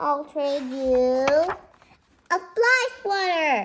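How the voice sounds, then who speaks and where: A woman puts on a character voice, squeaky and high. The act stays in that high, squeaky register throughout. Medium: read story. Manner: sweet, motherly.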